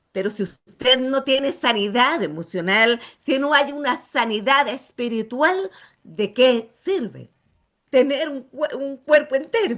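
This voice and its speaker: The woman's high voice has lively intonation. She speaks at a very slow pace. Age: 60s. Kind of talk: testimony.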